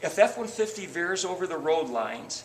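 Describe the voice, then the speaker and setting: A man with a high pitch speaks at a moderate pace amid noticeable background noise. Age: 60s. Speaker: car salesman. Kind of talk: sales pitch.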